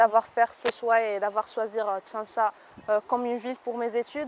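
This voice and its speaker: A woman with an Arabic accent speaks at a fairly high pitch in a monotone, flat way. The sound is dry and close with no echo, and the recording is very clean with a silent background. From Morocco. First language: Arabic (speaking French). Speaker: university student. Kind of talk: interview. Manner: hesitant, many fillers.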